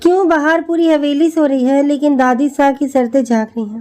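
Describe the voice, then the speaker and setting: In a put-on character voice, a woman speaks soft-spoken and shaky at high pitch. Her pace is moderate. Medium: read story. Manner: soft, trembling.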